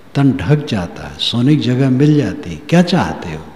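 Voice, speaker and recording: A man speaks at a medium pitch with very wide swings in his intonation. The room echo is audible and the background noise is noticeable. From rural North India. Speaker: spiritual preacher. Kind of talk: religious discourse.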